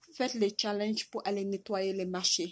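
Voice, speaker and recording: A woman speaks at a fairly high pitch on a very clean recording with a silent background. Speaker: vlogger. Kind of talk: impassioned video message. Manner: halting, with repetitions.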